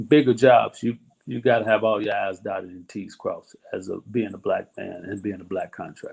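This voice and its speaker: Moderately paced speech from a man, his loudness swinging widely. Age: 60s. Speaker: construction company owner. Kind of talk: interview. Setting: livestream.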